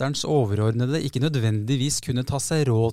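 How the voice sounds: Pitch varies in an ordinary way across a natural reading voice.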